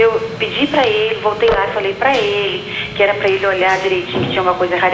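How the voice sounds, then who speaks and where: A woman at a medium pitch and fairly quick pace, with audible room echo and noticeable background noise. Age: 60s. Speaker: TV viewer caller. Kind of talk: phone question to a doctor.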